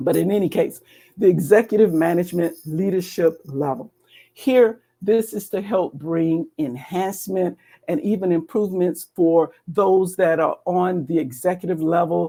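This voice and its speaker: With an American accent, a woman speaks at a fairly low pitch in a dark, mellow tone. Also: ordinary pitch variation, moderate pace. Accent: Southern US accent, comes and goes. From US South, Atlanta, Georgia. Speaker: cybersecurity education program director. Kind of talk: webinar presentation walking through slides. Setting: live online stream.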